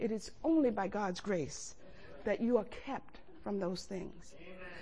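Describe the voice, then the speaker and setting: A somewhat breathy woman's voice at a very slow pace. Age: 70s. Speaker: preacher. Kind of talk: sermon. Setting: church. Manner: animated.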